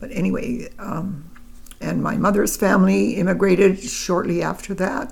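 Speech moves at a very slow pace over noticeable background noise. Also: woman. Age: 80s. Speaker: grandmother being interviewed. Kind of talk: elder life story, reminiscing in a relaxed family interview. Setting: home interview with a microphone. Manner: slow, halting, reflective, with pauses and fillers; warm, gentle, matter-of-fact storytelling.

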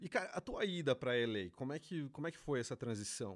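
Recorded with a dry, close sound and no echo, a man with an ordinary speaking voice talks fairly quickly at a medium pitch. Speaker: podcast host. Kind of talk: casual interview chat.

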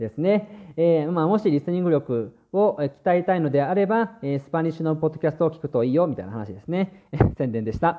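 Noticeable background noise sits behind a man speaking at a moderate pace. His voice is fairly high, with lively intonation. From Japan. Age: 20s. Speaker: language teacher podcaster and translator. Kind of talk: bilingual language-learning podcast monologue. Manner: many filler hesitations in Japanese.

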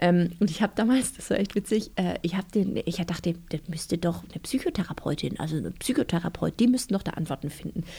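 A woman talks at a fairly quick pace in a fairly low, dark, mellow, somewhat breathy voice with ordinary pitch variation. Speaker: author and church youth worker. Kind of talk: interview.

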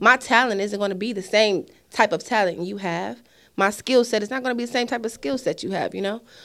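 Delivered at a fairly quick pace, a plain, everyday voice shows ordinary pitch variation. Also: woman, fairly high pitch for a woman. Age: 30s. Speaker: nonprofit founder. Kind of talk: casual chat.

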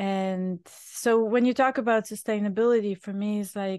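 A woman with a Bulgarian accent and medium pitch, fairly even intonation, moderate pace and a quiet background. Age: 50s. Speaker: chef and restaurant owner. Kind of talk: interview conversation.

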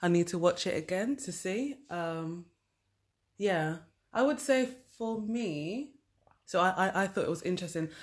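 On a very clean recording with a silent background, a woman with a British accent and medium pitch speaks at a fairly slow pace, taking long, frequent pauses. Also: lively intonation. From UK. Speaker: podcast co-host. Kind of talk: casual chat.

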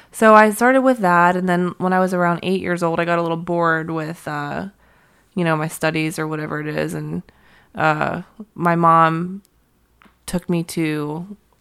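In a very clean recording with a silent background, a woman speaks in a normal speaking voice, fairly low, at a moderate pace. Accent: American. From US, Pittsburgh. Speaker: touring violinist and singer-songwriter. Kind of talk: casual interview chat.

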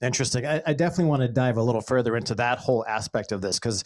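A man with an American accent, medium pitch and ordinary pitch variation, on a very clean recording with a silent background. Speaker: podcast host and former radio brand manager. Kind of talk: casual interview chat. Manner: upbeat, friendly.

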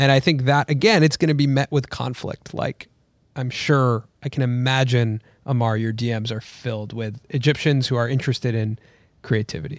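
An unremarkable speaking voice with an American accent moves at a moderate pace with ordinary pitch variation, sounding dry and close with no echo on a very clean recording with a silent background. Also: man, medium pitch for a man. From United States. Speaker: YouTuber. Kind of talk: casual chat.

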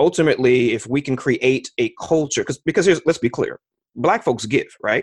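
A man with an American accent has an unremarkable speaking voice, fairly high in pitch. The sound is dry and close, with no echo. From New York (Mount Vernon). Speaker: physician and investment manager. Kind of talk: podcast interview.

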